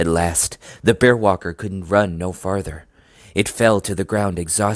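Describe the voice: Simple reading aloud, nothing more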